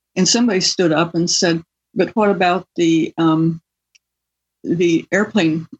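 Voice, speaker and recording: Somewhat breathy, a woman talks at a fairly slow pace in a fairly low pitch with ordinary pitch variation. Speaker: scientist and author. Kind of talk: interview.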